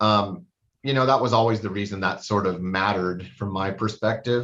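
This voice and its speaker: A man's fairly low voice with fairly even intonation. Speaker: judge. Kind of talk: court hearing. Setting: video call. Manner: fast.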